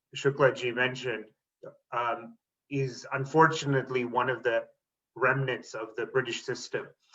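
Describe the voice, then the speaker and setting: A man's medium pitch holds at a moderate pace. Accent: Canadian. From Canada, Toronto area (moved from India at six). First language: Tamil. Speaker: teacher and school board trustee. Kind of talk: panel talk on video webinar. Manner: hesitant, with many fillers.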